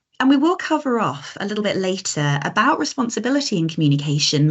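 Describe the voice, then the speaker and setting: A woman with a British accent sounds somewhat breathy as her pitch swings very widely. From Britain. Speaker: coaching and communication trainer. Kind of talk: online masterclass presentation. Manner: naturally fast and animated.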